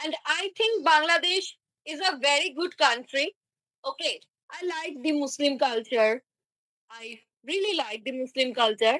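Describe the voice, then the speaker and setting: A woman with a Bengali accent, high-pitched and projected, bright and sharp in tone, with lively intonation at a fairly slow pace and long, frequent pauses. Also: dry, close sound with no echo. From India, Kolkata, West Bengal. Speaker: online chat partner. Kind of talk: casual chat. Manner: halting.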